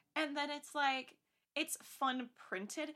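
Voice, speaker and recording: Speaking at a fairly slow pace, a woman uses a high pitch, a bright, sharp tone, lively intonation and a raised, projected voice. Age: 20s. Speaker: podcast guest. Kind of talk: casual chat. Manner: animated.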